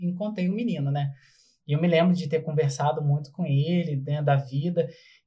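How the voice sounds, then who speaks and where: An ordinary speaking voice, this man talks fairly quickly at a fairly high pitch with fairly even intonation. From Brazil, São Gonçalo (Rio de Janeiro state). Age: 30s. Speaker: motivational speaker and health worker. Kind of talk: casual podcast interview.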